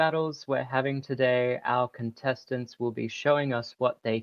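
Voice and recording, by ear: The text is read aloud in a natural voice with fairly even intonation.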